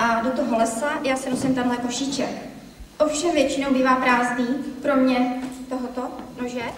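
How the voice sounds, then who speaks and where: With noticeable background noise and audible room echo, a woman speaks at a high pitch in a monotone, flat intonation, at a moderate pace with long, frequent pauses. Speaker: grandmother contestant. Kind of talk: self-presentation with props.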